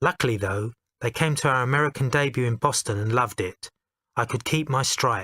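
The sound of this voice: Over a quiet background, this unforced reading voice moves with ordinary pitch variation.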